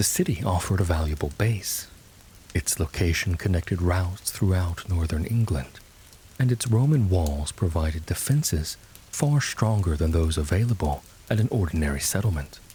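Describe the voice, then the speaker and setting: A man talks at a moderate pace in a very deep, low voice with lively intonation. His tone is dark and mellow, somewhat breathy, and very even in loudness. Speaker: voice actor. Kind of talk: sleep story.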